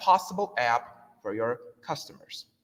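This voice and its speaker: A man's Turkish accent with very wide pitch swings. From Turkey. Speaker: software developer. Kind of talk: conference talk. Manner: halting, many fillers.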